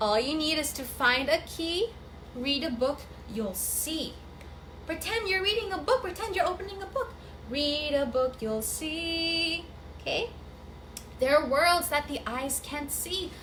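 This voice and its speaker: A woman's high voice with an upbeat, animated tone and very wide pitch swings, fairly slow, with long, frequent pauses and noticeable background noise. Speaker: children's storyteller and teacher. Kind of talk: children's storytelling session with audience participation. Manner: upbeat, animated, explaining actions slowly to kids.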